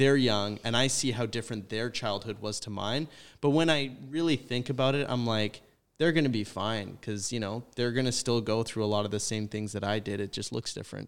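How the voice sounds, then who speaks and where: Using a normal speaking voice, a man speaks at a fairly quick pace with a Canadian accent and medium pitch with ordinary variation. The recording is very clean, with a silent background. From British Columbia, Canada. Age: 20s. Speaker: university student. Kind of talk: casual chat. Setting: studio.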